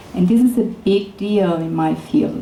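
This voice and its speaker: A woman speaks with an Italian accent. Room echo and noticeable background noise can be heard. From Italy, Florence. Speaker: neuroscientist. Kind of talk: lecture.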